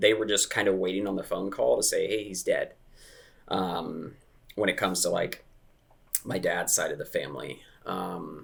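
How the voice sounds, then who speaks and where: A man with a Midwestern US accent speaks at a moderate pace. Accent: US Midwest. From US Midwest (Dayton, Ohio). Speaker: recovered addict. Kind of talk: interview testimony. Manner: hesitant with fillers.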